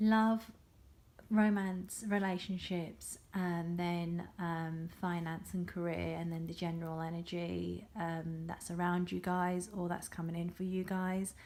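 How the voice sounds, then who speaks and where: Quiet and fairly low in pitch, a woman speaks at a fairly slow pace. Her intonation is monotone and flat. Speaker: tarot reader. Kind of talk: tarot reading monologue. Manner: halting, many fillers.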